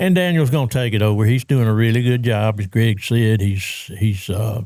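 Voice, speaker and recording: This man speaks with a Louisiana accent at a moderate pace. His tone is dark and mellow. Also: dry, close sound with no echo. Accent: Louisiana Southern US. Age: 70s. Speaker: fishing tournament founder. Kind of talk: casual chat.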